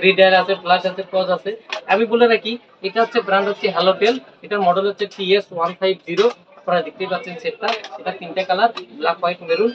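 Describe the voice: The speaker races along at a very fast pace with few pauses and fairly even intonation. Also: man.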